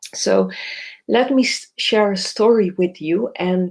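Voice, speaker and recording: In a non-native accent, a woman speaks at a fairly slow pace. Her pitch sits in the medium range. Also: very clean recording, silent background. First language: not English. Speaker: somatic psychotherapist. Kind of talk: live video talk. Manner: halting, many fillers.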